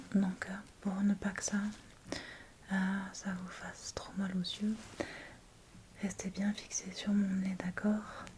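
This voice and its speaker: Soft-spoken and very slow, the voice stays monotone and flat, with long, frequent pauses and noticeable background noise. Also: woman, medium pitch for a woman. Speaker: ASMR creator playing a doctor. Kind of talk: ASMR medical roleplay, addressing the listener as a patient. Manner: soft-spoken, gentle, slow; whispered, soft.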